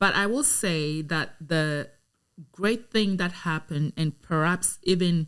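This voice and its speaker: A woman with a Ghanaian accent speaks at a fairly low pitch and a fairly slow pace in a very clean recording with a silent background. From Ghana (Accra). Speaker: lawyer and community advocate. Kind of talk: podcast interview.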